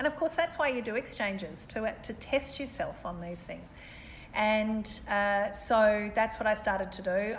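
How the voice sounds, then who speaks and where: A woman speaks in an Australian accent. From Australia, Melbourne. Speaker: city mayor. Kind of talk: interview.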